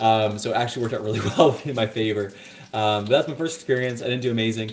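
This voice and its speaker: A man with an American accent, medium-pitched, talking very fast in a fairly even intonation. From Texas and Virginia, US. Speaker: cigar vlogger. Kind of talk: casual chat. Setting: live stream while cooking. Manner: hesitant, many fillers.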